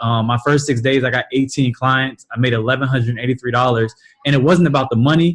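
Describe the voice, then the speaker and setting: Somewhat breathy, a man talks very fast at medium pitch with fairly even intonation. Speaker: multi-level marketing team leader. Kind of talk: motivational talk on a team call.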